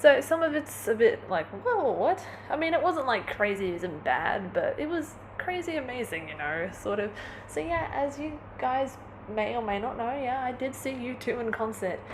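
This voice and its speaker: Amid audible room echo and noticeable background noise, a woman with a high pitch speaks at a moderate pace, her pitch swinging very widely. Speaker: vlogger. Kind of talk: casual vlog monologue. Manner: animated.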